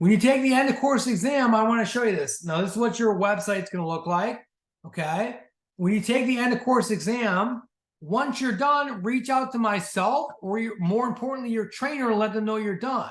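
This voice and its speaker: A man speaks at an extremely high pitch with ordinary pitch variation. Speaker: sales team leader and coach. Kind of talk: orientation training talk. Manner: fast.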